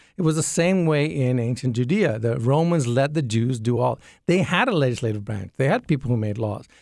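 A man with a non-native accent at a fairly quick pace with hardly any pauses, on a very clean recording with a silent background. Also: medium pitch for a man. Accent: non-Southern foreign. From grew up in Jamaica, Yemen, Sudan, Ethiopia; Indian parents. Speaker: engineer and apologetics teacher. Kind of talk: radio interview.

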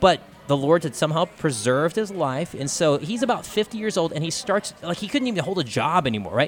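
A man with an American accent talks at a fairly quick pace with hardly any pauses. His high voice has lively intonation, with music in the background. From Texas, Austin. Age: 30s. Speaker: podcaster and speaker. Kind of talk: live radio interview. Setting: convention floor broadcast.

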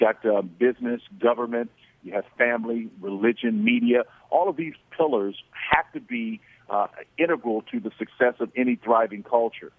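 Using an unremarkable speaking voice, a man talks at a moderate pace in a medium pitch with ordinary pitch variation and big swings in loudness. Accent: American. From Oklahoma. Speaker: former NFL player, awards organizer. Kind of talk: radio interview.

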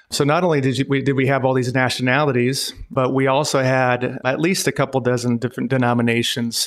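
With an American accent and an unremarkable speaking voice, a man talks at a fairly quick pace with hardly any pauses, very even loudness and a medium pitch. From Montana and North Dakota, US. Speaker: pastor and missionary. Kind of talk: interview.

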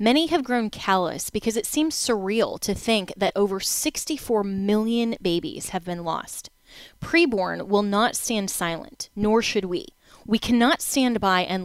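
A woman with an ordinary speaking voice and medium pitch talks at a fairly slow pace with lively intonation. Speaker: radio host. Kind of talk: radio talk show.

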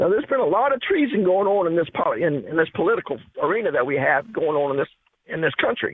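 Speaking at a very fast pace, a man uses a high pitch with very wide pitch swings. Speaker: caller. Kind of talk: call-in radio talk show. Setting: phone call.

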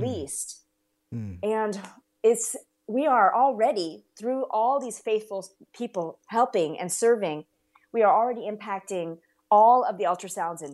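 Using lively intonation and big swings in loudness, a woman with a normal speaking voice and medium pitch talks at a fairly slow pace. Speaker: ministry representative. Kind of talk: interview.

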